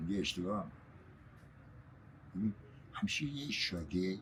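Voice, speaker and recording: Somewhat breathy man's voice at a fairly low pitch. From Shiraz, Iran. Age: 80s+. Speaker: shopkeeper. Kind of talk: casual chat, storytelling.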